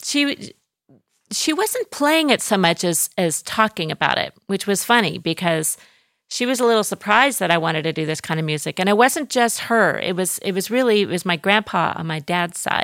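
A woman with an unremarkable speaking voice talks at a medium pitch and moderate pace with lively intonation, in a dry, close sound with no echo on a very clean recording with a silent background. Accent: American. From Southern California, Orange County. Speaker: jazz singer. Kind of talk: casual chat.

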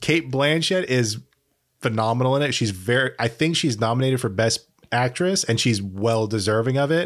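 A man speaks in a normal speaking voice at medium pitch, with ordinary pitch variation and a moderate pace. His loudness stays very even, and the recording is very clean with a silent background. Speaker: podcast host. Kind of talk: casual chat.

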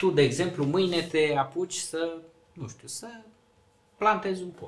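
The speaker moves at a fairly slow pace with long, frequent pauses, ordinary pitch variation and big swings in loudness. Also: man. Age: 40s. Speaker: mayor. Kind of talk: casual interview.

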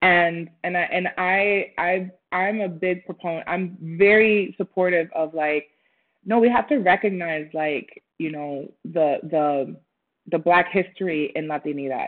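A woman's fairly low, plain, everyday voice at a fairly slow pace, with ordinary pitch variation. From Puerto Rico and Minnesota. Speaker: actress and creative. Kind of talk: interview.

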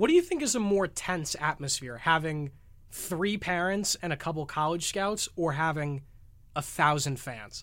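A man with an American accent and an ordinary speaking voice, fairly high in pitch with ordinary pitch variation, at a moderate pace in a very clean recording with a silent background. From Connecticut. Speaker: college student podcast host. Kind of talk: casual interview chat.

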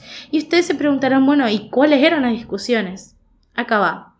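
Music plays in the background as the speaker talks with a northeastern Argentine accent. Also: woman. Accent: Argentine Spanish (voseo, northeastern). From Argentina, Goya (Corrientes). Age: 20s. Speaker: podcast host. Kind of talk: solo monologue podcast, casual reflective.

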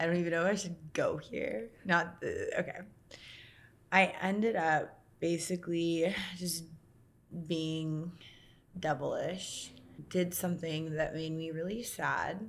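With an American accent, a woman talks at a fairly slow pace in a fairly low pitch, her intonation fairly even and broken by long, frequent pauses. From US West Coast (Santa Cruz, California). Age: 30s. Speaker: model and influencer. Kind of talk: podcast interview.

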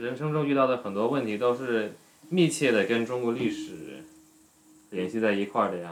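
With lively intonation, a man speaks at a moderate pace as noticeable background noise carries on behind him. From China, raised in expat international school circles. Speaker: guest, Dutch-born Chinese. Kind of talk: casual chat. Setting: home kitchen, making dumplings.

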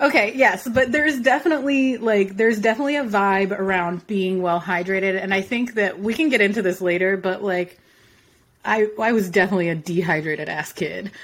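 A plain, everyday voice talks with an American accent. The pace is fairly quick, with lively intonation. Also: woman, medium pitch for a woman. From Philadelphia, US. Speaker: podcast co-host. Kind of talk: casual chat.

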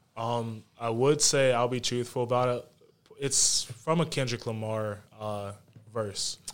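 Using a normal speaking voice with an American accent, a man speaks at a medium pitch and a fairly slow pace, his intonation fairly even. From Charlotte, North Carolina. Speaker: author and poet. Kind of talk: casual chat.

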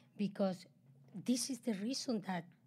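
A woman speaks at a medium pitch with a Spanish accent, her somewhat breathy voice dark and mellow in tone, with ordinary pitch variation. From Chile. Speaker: host's mother, immigrant entrepreneur. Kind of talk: casual chat.

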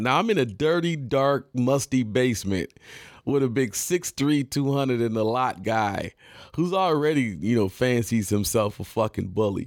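A man with an American accent speaks at a medium pitch with ordinary pitch variation, in an ordinary speaking voice. The recording is very clean, with a silent background. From Detroit area, Michigan. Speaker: podcast host and rapper. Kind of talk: storytelling monologue. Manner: casual, many fillers.

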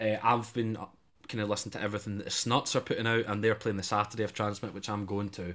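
A man with a Scottish accent talks at a very fast pace in a fairly low pitch. His intonation stays monotone and flat. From Scotland. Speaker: student radio host. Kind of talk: casual chat.

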